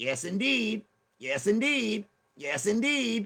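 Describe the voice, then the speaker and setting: This man puts on a character voice, pitched high and delivered at a fairly slow pace with very wide pitch swings. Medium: game stream.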